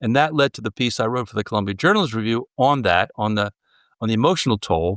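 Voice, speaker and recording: A man with a New Jersey accent speaks at a medium pitch with lively intonation. The sound is dry and close with no echo, on a very clean recording with a silent background. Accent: American, New Jersey. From US Northeast, southern New Jersey. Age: 70s. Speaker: journalist and author. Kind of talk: interview conversation. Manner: halting, many fillers and restarts.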